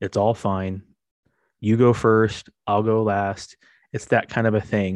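Monotone, flat intonation over a quiet background. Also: man, fairly low pitch for a man. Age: 40s. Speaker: podcast host and father. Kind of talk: casual monologue. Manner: conversational with frequent fillers.

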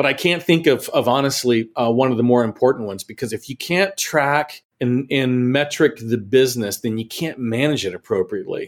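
Spoken in a normal speaking voice with an American accent, the delivery is fairly quick, with ordinary pitch variation and hardly any pauses. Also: man, medium pitch for a man. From Texas. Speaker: channel sales executive. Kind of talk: interview.

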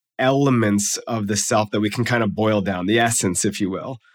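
On a very clean recording with a silent background, a man with a plain, everyday voice speaks at a medium pitch and a moderate pace with ordinary pitch variation. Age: 40s. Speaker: psychology professor and author. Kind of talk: interview.

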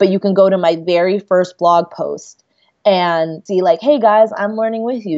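A woman speaks in a normal speaking voice at medium pitch and a moderate pace. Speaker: writer. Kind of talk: casual chat.

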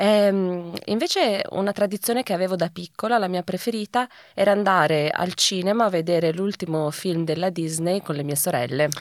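Speaking at a medium pitch with ordinary pitch variation, a woman keeps a moderate pace in an ordinary speaking voice. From Italy. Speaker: recurring podcast guest. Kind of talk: casual chat.

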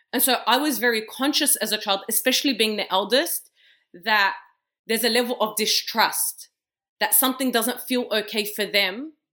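A woman speaks with an Australian accent in a bright, sharp tone and ordinary pitch variation. The recording is very clean, with a silent background. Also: fairly high pitch for a woman, moderate pace. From Australia, Western Sydney. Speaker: community leader and sports founder. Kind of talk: interview conversation.

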